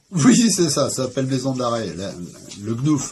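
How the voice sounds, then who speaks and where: With lively intonation, a man speaks at medium pitch in a dark, mellow, somewhat breathy tone. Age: 60s. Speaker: interviewee recounting his life. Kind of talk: life story interview. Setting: at home. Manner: hesitant, many fillers.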